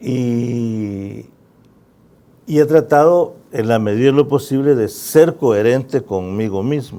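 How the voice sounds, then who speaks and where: Speaking at a very slow pace with a Salvadoran accent, a man uses a medium pitch with ordinary variation and a dark, mellow tone. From El Salvador, San Salvador. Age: 60s. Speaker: musician and author. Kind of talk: interview.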